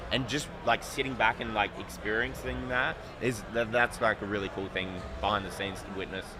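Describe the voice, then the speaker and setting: A man with an Australian accent, fairly low in pitch and fairly quick in pace, against noticeable background noise. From Australia, Adelaide. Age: 30s. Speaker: sports card designer. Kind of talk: casual interview.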